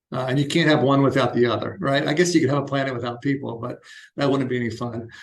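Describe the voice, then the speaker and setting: A man talks at a very fast pace with fairly even intonation. Room echo is audible around him. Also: medium pitch for a man. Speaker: architect. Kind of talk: lecture. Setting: university lecture room. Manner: casual, with frequent fillers.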